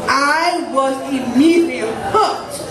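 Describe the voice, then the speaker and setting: A man with an American accent, in audible room echo with loud background noise. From Newton, Massachusetts. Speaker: photographer and self-advocate. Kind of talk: prepared speech to a live audience. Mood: proud, earnest. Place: stage. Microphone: podium.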